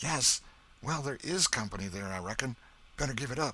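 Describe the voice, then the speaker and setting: The put-on character voice is raspy and moves at a fairly quick pace. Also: man, medium pitch for a man. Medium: read story. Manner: hesitant.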